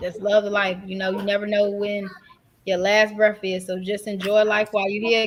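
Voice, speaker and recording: A woman talks at a moderate pace in a medium pitch. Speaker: podcast co-host. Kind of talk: casual chat. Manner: loud.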